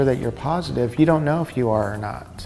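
A man talks at a moderate speed while faint music sits behind him. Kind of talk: interview answer. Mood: calm, explanatory.

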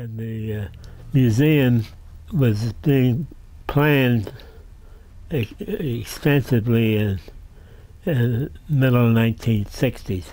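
A man with an American accent, dark and mellow in tone, at a very slow pace with ordinary pitch variation and long, frequent pauses. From southeastern Pennsylvania (Doylestown). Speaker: retired railroad museum director and rail historian. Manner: gently amused, chuckling warmly at his own anecdotes. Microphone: camera far.

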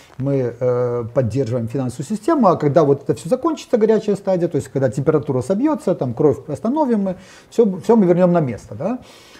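A man speaks at a very fast pace in a fairly high pitch, his dark, mellow tone swinging very widely up and down. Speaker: economist. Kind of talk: panel discussion on economics. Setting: studio. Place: studio. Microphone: lapel.

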